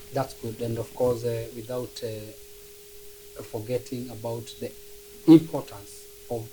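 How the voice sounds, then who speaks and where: A man speaks at a medium pitch with fairly even intonation. His pace is fairly slow, and background noise is noticeable. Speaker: sports talk show host. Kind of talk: casual interview.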